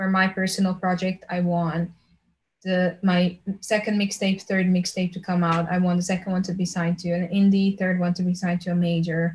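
The voice is somewhat breathy, with a Slovenian accent. It moves at a fairly quick pace in flat, monotone intonation. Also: woman, medium pitch for a woman. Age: 20s. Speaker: pop singer. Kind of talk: interview conversation.

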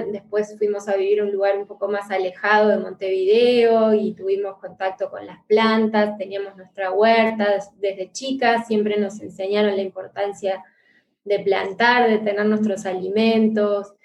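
At a fairly slow pace, a woman speaks in a monotone, flat intonation at a medium pitch. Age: 40s. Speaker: therapist. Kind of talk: interview.

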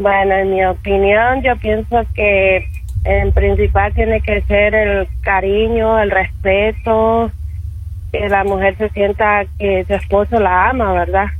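Audible room echo and noticeable background noise around a woman's very slow speech. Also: very even loudness. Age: 20s. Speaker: radio caller. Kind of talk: call-in opinion. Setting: phone call.

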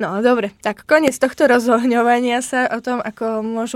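Speaking at a moderate pace with a Slovak accent, a woman uses a high pitch and fairly even intonation in a very clean recording with a silent background and a dry, close sound with no echo. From Slovakia. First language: Slovak (speaking Czech). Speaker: podcast host, PhD student. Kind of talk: casual chat.

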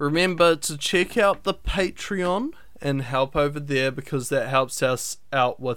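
With a New Zealand accent, a man talks at a fairly slow pace in a fairly high pitch. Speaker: podcast host and animation student. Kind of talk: casual solo podcast talk.

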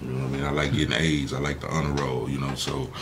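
Background noise is noticeable. Through it, a man talks. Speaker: entertainer and entrepreneur. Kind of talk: casual interview.

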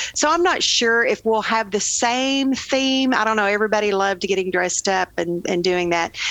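A woman's fairly high voice with lively intonation over noticeable background noise. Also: moderate pace, very even loudness. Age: 50s. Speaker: charity foundation president. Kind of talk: casual interview.

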